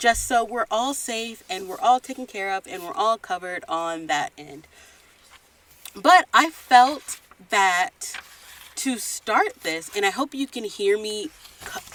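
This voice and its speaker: A woman talks at a fairly slow pace, with very wide pitch swings and big swings in loudness. The sound is dry and close with no echo, with noticeable background noise behind it. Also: fairly high pitch for a woman. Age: 20s. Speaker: podcast host. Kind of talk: casual podcast talk. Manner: occasional stutter.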